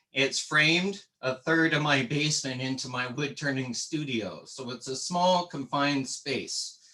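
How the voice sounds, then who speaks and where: A man with a Canadian accent talks at a fairly slow pace with ordinary pitch variation. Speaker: woodturner. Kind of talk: tutorial. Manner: casual.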